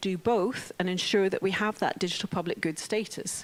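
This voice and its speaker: With a Scottish accent, a woman talks at medium pitch with ordinary pitch variation. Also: very clean recording, silent background. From Scotland. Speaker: open technology organisation CEO. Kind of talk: conference talk.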